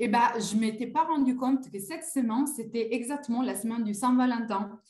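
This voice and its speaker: Over audible room echo, a woman with an Italian accent speaks at a fairly high pitch with ordinary pitch variation. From Italy. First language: Italian (speaking French). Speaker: coaching client. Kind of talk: testimony. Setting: live video call. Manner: hesitant, many fillers.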